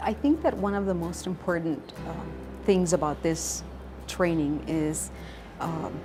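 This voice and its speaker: A woman with a non-native accent speaks fairly slowly at a fairly low pitch with ordinary pitch variation, with audible room echo and noticeable background noise. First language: not English. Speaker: educator. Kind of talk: interview testimony.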